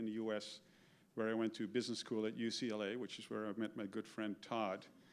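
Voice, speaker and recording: A Dutch accent at a fairly quick pace. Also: man. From Netherlands. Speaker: keynote speaker, retired supply chain executive. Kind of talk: keynote talk. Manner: halting, many fillers and repeats.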